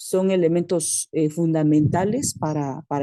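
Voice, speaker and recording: A woman speaks with a very deep, low pitch in a dark, mellow tone. The sound is dry and close with no echo. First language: Mixtec (Tu'un Savi) (speaking Spanish). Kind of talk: comment in online academic meeting. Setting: video call from rural community. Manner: halting, many fillers.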